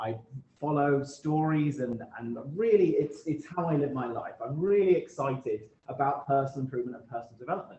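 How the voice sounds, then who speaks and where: A man with a British accent speaks at a fairly quick pace. His pitch is fairly high, with ordinary variation. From UK. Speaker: guest speaker, self-improvement author. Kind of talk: talk at a club meeting. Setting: meeting room with Zoom hybrid audience. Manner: halting, frequent repetitions.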